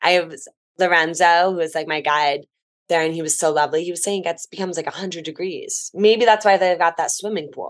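A woman with a plain, everyday voice speaks with an American accent. Her pitch is fairly low, her intonation fairly even, and her pace fairly quick. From New Jersey. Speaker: travel writer. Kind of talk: casual chat.

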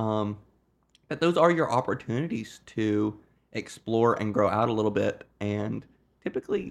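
At a moderate pace, a man with a normal speaking voice, medium pitch and ordinary pitch variation talks over a quiet background. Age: 20s. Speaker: podcast co-host. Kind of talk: casual discussion.

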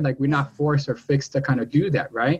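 The speech moves fairly quickly. It is a normal speaking voice. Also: man. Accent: American. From New York City (Washington Heights), Dominican heritage. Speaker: podcast host. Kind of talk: casual interview.

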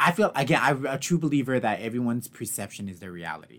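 With a medium pitch and lively intonation, a man speaks in a normal speaking voice on a very clean recording with a silent background. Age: 30s. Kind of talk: casual chat.

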